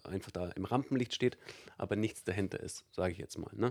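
In a fairly low voice, a man talks with normal rise and fall in pitch. The recording is very clean and the background silent. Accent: Allgäu. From Allgäu, Bavaria, Germany. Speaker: stage host and business presenter. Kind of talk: interview. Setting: studio.

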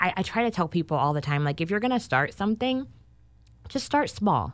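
A woman with an American accent makes very wide pitch swings as she speaks. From US West Coast, Sacramento. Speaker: entrepreneur, game creator. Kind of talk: interview. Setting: studio.

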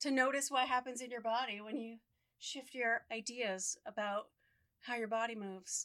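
A woman speaks loudly with high pitch. Her pace is moderate and her intonation fairly even. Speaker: podcast co-host. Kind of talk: casual chat. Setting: studio microphone.

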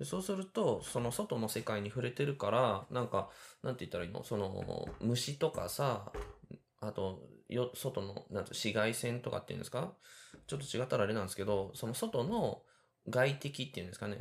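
On a very clean recording with a silent background, a somewhat breathy voice talks at a moderate pace with lively intonation. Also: man, medium pitch for a man. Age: 30s. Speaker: podcast host, cooking school student. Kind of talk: casual solo talk while cooking. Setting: home kitchen.

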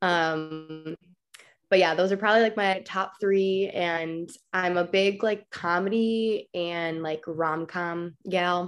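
Music plays in the background while a woman with an American accent and a fairly low pitch speaks at a very slow pace with fairly even intonation. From Chicago. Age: 20s. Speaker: content creator. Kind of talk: casual interview. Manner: hesitant, many fillers.

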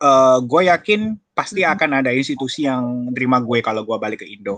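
In a plain, everyday voice, a man speaks at a moderate pace with medium pitch and lively intonation. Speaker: university lecturer. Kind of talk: casual interview.

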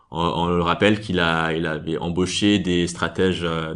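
A man's very deep, low voice, flat and monotone, at a moderate pace. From Nigeria. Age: 20s. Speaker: energy market analyst. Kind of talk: interview answers. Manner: halting.

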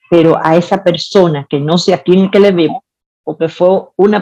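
A woman speaks at a fairly slow pace in a dark, mellow tone. Her pitch is medium, with ordinary variation. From Dominican Republic, Santiago. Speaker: cook and restaurant owner. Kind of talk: interview storytelling.

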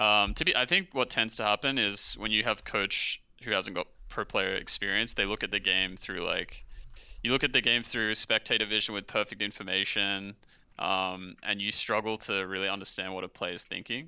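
A man speaks at a fairly low pitch with a bright, sharp tone. His pace is moderate. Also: fairly even intonation. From Australia. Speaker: esports coach. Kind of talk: casual chat. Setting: video call.

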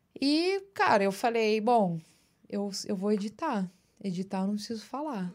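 A woman with a plain, everyday voice, medium pitch and fairly slow pace. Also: ordinary pitch variation. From São Paulo, Brazil (Osasco area). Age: 30s. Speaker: audiovisual producer. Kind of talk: casual interview chat. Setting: studio.

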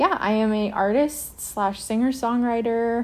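A woman speaks with a Western Canadian accent. Her pace is very slow. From Canadian Prairies (Lloydminster, Alberta/Saskatchewan). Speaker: singer-songwriter and restaurateur. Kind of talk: interview testimony.

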